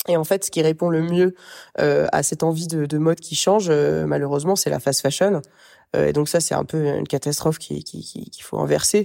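A woman's loudness swings widely as she talks at a moderate pace. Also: very clean recording, silent background. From Paris region, France. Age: 30s. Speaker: fashion business co-founder. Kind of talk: interview.

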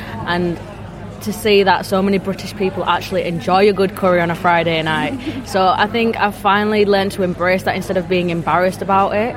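A woman speaks fairly quickly at a medium pitch with fairly even intonation. Noticeable background noise runs underneath. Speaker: youth food ambassador. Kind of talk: casual interview.

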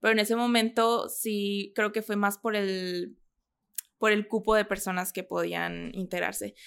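A woman of medium pitch speaks at a fairly slow pace with monotone, flat intonation in a very clean recording with a silent background. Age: 20s. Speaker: model and content creator. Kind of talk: interview.

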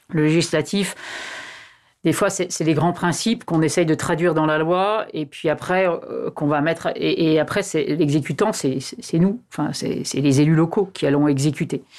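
Ordinary pitch variation across a woman's very deep, low-pitched voice. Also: moderate pace. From Annecy, Haute-Savoie, France. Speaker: politician. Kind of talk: interview. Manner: hesitant, many fillers.

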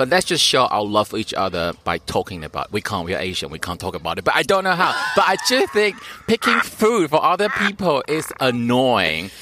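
With music in the background, a man speaks at a fairly quick pace. His medium pitch swings very widely. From Taiwan. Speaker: comedian. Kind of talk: casual chat.

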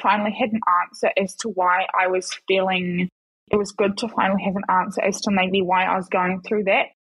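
A woman speaks with a New Zealand accent at a medium pitch. Her pace is fairly quick and her loudness very even. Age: 20s. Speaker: ex-Paralympic athlete and model. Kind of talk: casual interview.

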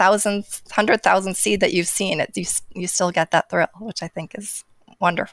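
A woman speaks in a normal speaking voice with an American accent. Her intonation stays fairly even at a moderate pace. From New Jersey. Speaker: garden editor. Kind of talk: casual chat. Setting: video call.

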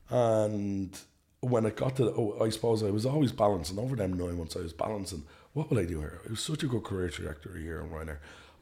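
Lively intonation and a fairly quick pace in an Irish accent, with a somewhat breathy, dark, mellow tone. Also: man. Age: 20s. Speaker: flight school founder. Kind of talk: interview conversation. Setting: studio.

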